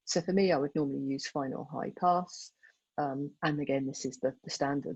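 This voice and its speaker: A woman's voice with vocal fry and ordinary pitch variation. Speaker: photographer giving a club talk. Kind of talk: tutorial. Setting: video call. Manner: fast.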